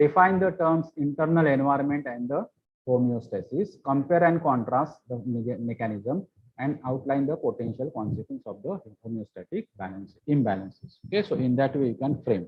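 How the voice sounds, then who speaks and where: A fairly high-pitched man with an Indian accent, somewhat breathy, lively in intonation and moderate in pace. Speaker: pharmacy lecturer. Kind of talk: lecture.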